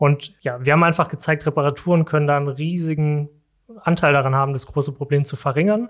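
A man speaks very fast. His intonation stays fairly even. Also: fairly high pitch for a man. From Germany, Saarland. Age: 30s. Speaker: corporate sustainability manager. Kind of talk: casual interview. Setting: studio.

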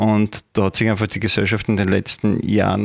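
Fairly quick and fairly even in intonation, a man speaks with a fairly low pitch. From Austria, Upper Styria. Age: 30s. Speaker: party official. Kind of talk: interview. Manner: hesitant, many fillers.

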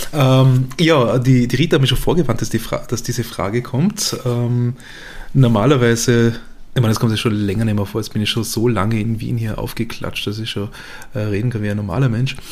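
Medium-pitched man at a moderate pace with fairly even intonation, against noticeable background noise. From Vorarlberg, western Austria. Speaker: podcast host, journalist. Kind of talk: casual chat.

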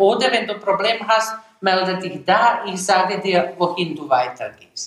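Audible room echo surrounds a woman with a non-native accent. She speaks at a medium pitch and a fairly slow pace. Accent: German with foreign. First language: Serbo-Croatian (speaking German). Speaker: immigrant mother and teacher. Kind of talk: interview storytelling. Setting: at home.

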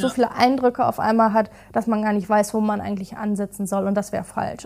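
Fairly quick and fairly high-pitched, a woman's voice keeps its intonation fairly even. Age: 20s. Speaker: digitalization officer at care company. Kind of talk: casual interview. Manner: hesitant, many fillers.

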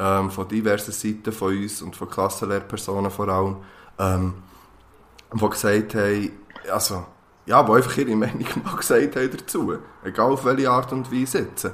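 With a Swiss accent, a man speaks at a moderate pace and fairly low pitch, his intonation fairly even and his pauses long and frequent. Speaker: podcast co-host, teacher. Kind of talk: casual chat.

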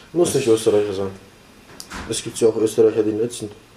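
With noticeable background noise, a man talks at a medium pitch with fairly even intonation. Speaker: young person at a youth centre. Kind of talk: interview. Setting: youth centre. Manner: halting.

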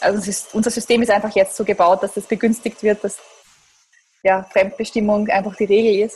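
At a fairly quick pace, a woman talks with a medium pitch. Her intonation is monotone and flat. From Lower Austria, near Krems. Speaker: startup managing director. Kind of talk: interview.

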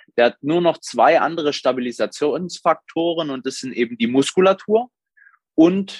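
A man speaks in a normal speaking voice with lively intonation. His moderate pace comes through a dry, close sound with no echo. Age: 20s. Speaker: sports therapist and bodybuilding coach. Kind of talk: interview.

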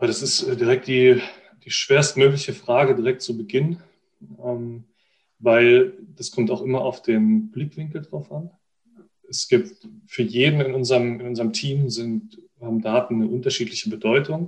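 A man speaks with lively intonation and a somewhat breathy voice, leaving long, frequent pauses. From Baden, near Freiburg (southwest Germany). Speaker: football data analyst. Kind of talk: interview. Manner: hesitant, many fillers.

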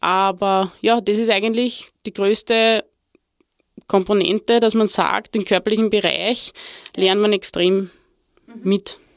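A woman at a fairly slow pace, with monotone, flat intonation and long, frequent pauses. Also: medium pitch for a woman, dry, close sound with no echo. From Lower Austria. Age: 30s. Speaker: former football player and women's football director. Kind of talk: interview. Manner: halting, many fillers.

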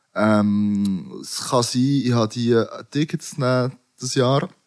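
Recorded very cleanly over a silent background, a man talks at a medium pitch with fairly even intonation. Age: 30s. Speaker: rapper. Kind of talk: casual chat.

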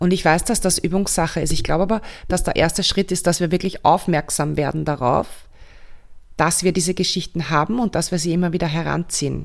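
At a fairly quick pace, a woman talks at a fairly low pitch with fairly even intonation and very even loudness, in a very clean recording with a silent background. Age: 40s. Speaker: somatic coach and podcast host. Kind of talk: casual solo monologue. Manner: hesitant fillers, self-correcting.

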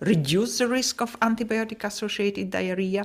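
A woman in a Polish accent, with ordinary pitch variation. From Poland. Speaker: professor of paediatric gastroenterology. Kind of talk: interview.

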